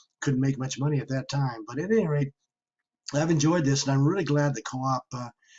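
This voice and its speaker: A man's somewhat breathy, fairly high voice with ordinary pitch variation. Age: 80s+. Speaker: retired alumnus attending workshop. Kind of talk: casual remarks in virtual workshop Q&A. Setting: video call. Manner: halting.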